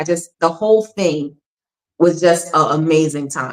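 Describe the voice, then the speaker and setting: An animated woman with a Philadelphia accent, a fairly low pitch and ordinary pitch variation. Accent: northern US accent, Philadelphia. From Philadelphia, US Northeast. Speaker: actor. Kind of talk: interview.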